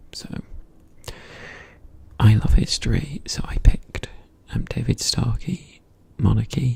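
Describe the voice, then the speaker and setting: Fairly slow whispering with long, frequent pauses over noticeable background noise. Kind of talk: casual intro talk to camera. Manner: soft-spoken.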